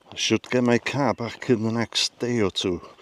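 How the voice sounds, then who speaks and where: In a dry, close sound with no echo, a man with a Welsh accent talks at a moderate pace. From Wales. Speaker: YouTuber. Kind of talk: casual talk to camera.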